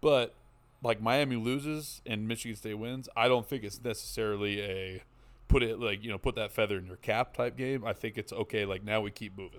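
Over a very clean recording with a silent background, a man talks at a fairly quick pace in an ordinary speaking voice. His pitch is medium and his intonation fairly even, while his loudness swings widely. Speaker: podcast co-host, guest. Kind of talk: casual sports banter. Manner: casual, talkative, joking.

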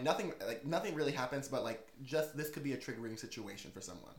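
Room echo is audible around a man's voice. His tone is animated, with ordinary pitch variation. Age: 20s. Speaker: podcast host. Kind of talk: casual chat.

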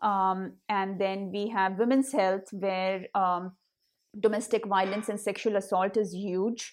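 On a very clean recording with a silent background, a woman with an Indian accent speaks at a fairly slow pace in a medium pitch with monotone, flat intonation. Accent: Hindi-accented English. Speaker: nonprofit founder. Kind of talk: interview. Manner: halting, filler-heavy.

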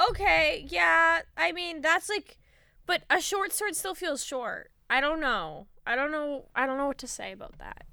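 A woman talks at a fairly slow pace, her loudness swinging widely. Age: 20s. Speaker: podcast co-host. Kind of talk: casual chat.

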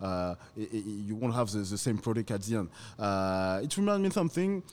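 With a French accent, a man talks at a fairly quick pace and a medium pitch. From France, Paris. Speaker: rum producer or bottler. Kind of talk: casual interview chat. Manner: halting, many hesitations.

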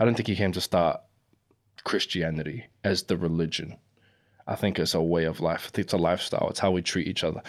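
A man with a New Zealand accent and very deep, low pitch speaks at a very fast pace on a very clean recording with a silent background. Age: 20s. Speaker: battle rapper. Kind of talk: casual chat.

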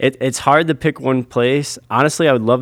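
In an American accent, an ordinary speaking voice goes at a fairly quick pace with ordinary pitch variation. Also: man. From US Midwest, Michigan. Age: 20s. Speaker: pro scooter rider. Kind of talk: casual interview chat.

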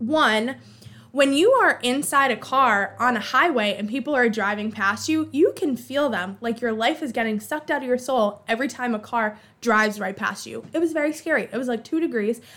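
With an American accent, the speaker uses a bright, sharp, animated tone, ordinary pitch variation and a moderate pace. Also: woman, high pitch for a woman. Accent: Boston accent coming out at times. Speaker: podcast host. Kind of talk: casual solo chat.

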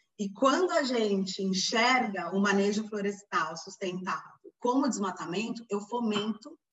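With music in the background, the speech unfolds at a fairly slow pace. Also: woman. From Brazil, São Paulo. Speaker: forest engineer, NGO coordinator. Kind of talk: podcast interview.

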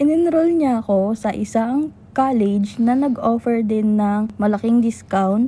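Her voice fairly high-pitched, a woman speaks at a fairly slow pace with a dark, mellow tone, somewhat breathy, with ordinary pitch variation and very even loudness. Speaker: podcast co-host. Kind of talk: casual chat.

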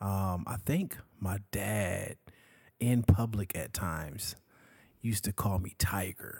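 In a very clean recording with a silent background, a man with a fairly low, somewhat breathy voice and ordinary pitch variation talks at a very slow pace, leaving long, frequent pauses. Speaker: podcast co-host. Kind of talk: casual chat. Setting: home recording at night. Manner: mellow.

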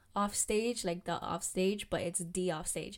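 A woman talks with fairly even intonation. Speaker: solo podcaster, student. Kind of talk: casual monologue. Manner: giggly.

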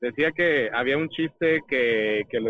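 The sound is dry and close, with no echo. Pitch varies in an ordinary way. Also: man.

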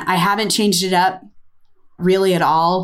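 A woman speaks with an American accent at a medium pitch. Her intonation is monotone and flat, at a moderate pace. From United States. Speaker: ceramicist and podcast co-host. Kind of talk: casual chat.

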